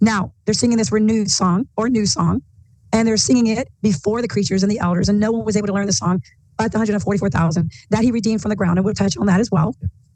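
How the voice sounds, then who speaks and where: A woman talks very fast at medium pitch in a dark, mellow tone with vocal fry, very even loudness, and ordinary pitch variation. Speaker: bible teacher. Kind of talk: bible study discussion.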